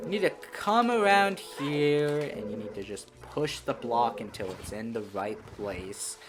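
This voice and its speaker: A man speaks with a medium pitch at a fairly slow pace. His pitch swings very widely. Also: hardly any pauses. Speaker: video game let's player. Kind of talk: gameplay commentary. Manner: stuttering, halting; casual, conversational.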